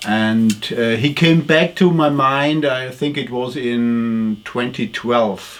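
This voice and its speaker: With a German accent, a man speaks at a very slow pace with hardly any pauses and ordinary pitch variation. Noticeable background noise runs behind him. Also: medium pitch for a man. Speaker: retired culture journalist. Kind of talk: interview. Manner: halting.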